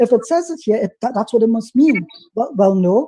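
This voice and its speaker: Speech comes fairly quickly in a tone that is dark and mellow. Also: man. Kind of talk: heated debate. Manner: fast.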